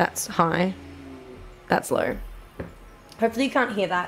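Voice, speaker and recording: A woman speaks with an Australian accent. Faint music sits in the background. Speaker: video game streamer. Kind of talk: live gameplay stream chat. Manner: animated.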